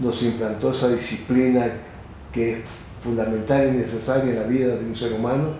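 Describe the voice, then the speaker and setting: Over noticeable background noise and audible room echo, a man speaks at medium pitch and a moderate pace with flat, monotone intonation. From Ecuador, Manabí coast (Chone). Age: 80s+. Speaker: retired general. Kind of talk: interview.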